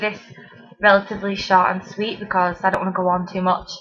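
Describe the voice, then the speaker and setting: A woman's monotone, flat delivery with a strong Mancunian accent. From Manchester, England. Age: 20s. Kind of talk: casual talk to camera.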